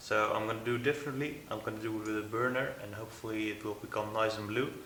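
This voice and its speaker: With noticeable background noise and audible room echo, a man speaks at a medium pitch and a moderate pace, his intonation fairly even. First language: not English. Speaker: knife maker. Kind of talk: workshop vlog narration. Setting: workshop. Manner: halting, many fillers.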